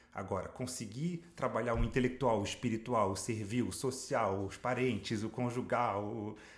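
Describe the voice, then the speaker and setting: Ordinary pitch variation in a man's somewhat breathy voice. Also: medium pitch for a man, moderate pace. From France (Paris), Brazilian mother. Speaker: life coach and speaker. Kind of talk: casual interview chat.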